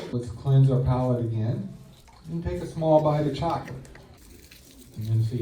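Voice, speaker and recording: A relaxed tone at a moderate pace with ordinary pitch variation and long, frequent pauses, plus audible room echo and noticeable background noise. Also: man. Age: 60s. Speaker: whiskey blogger and tasting panel host. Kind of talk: guided tasting panel. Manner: casual, relaxed.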